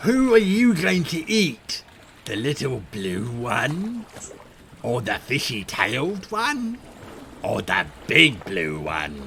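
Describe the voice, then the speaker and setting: A man puts on a menacing character voice, fairly high in pitch, speaking at a very slow pace with long, frequent pauses over clear background noise. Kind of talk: tabletop roleplay game master. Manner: menacing, taunting.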